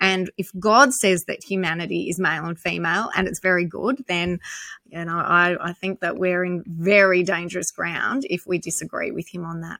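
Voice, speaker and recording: With an Australian accent, a woman speaks at a moderate pace in a fairly low pitch, her bright, sharp tone showing ordinary pitch variation in a dry, close sound with no echo. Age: 50s. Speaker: activist. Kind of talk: interview.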